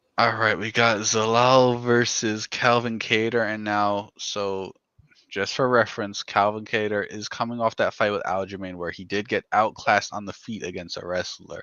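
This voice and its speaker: Speaking at a moderate pace, a man uses a fairly low pitch with monotone, flat intonation while his loudness swings widely. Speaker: MMA podcast co-host. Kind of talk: casual fight breakdown chat. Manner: stuttering at times.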